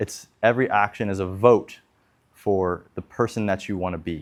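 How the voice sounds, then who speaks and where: On a very clean recording with a silent background, a man's pitch varies in an ordinary way. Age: 20s. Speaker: video blogger. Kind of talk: casual monologue. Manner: hesitant, with many fillers.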